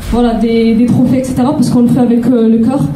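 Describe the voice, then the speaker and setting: A shaky, high-pitched woman's voice with a Toulouse accent, amid noticeable background noise and audible room echo. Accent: southern French (Toulouse). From Toulouse, southern France. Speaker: charity president, award winner. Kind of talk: acceptance speech. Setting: stage with audience, microphone. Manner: shaky, halting.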